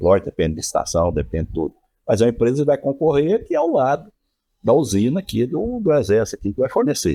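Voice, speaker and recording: The recording is very clean, with a silent background. A man speaks at a very fast pace. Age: 60s. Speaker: local politician. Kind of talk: podcast interview.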